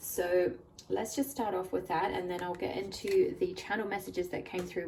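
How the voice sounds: A woman's fairly low, dark and mellow voice at a fairly quick pace, with ordinary pitch variation and faint background noise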